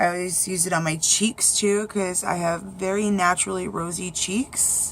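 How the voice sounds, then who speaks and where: Against noticeable background noise, a woman with a fairly low pitch speaks at a fairly slow pace with fairly even intonation. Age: 30s. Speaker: beauty vlogger. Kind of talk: makeup tutorial. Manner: casual, chatty.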